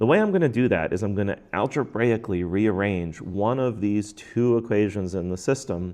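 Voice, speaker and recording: A man's fairly low-pitched voice, an ordinary speaking voice, with ordinary pitch variation. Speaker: math teacher. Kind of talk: tutorial.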